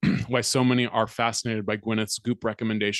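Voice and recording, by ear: Here a text is read aloud in a natural voice.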